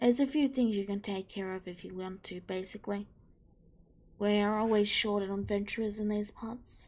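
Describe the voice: Her pitch is medium and her intonation fairly even, at a moderate pace. The woman's tone is slightly mellow.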